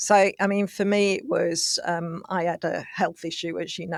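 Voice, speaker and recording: The woman speaks at a moderate pace in a flat monotone, on a very clean recording with a silent background and a dry, close sound with no echo. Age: 60s. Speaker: business executive. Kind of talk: podcast interview.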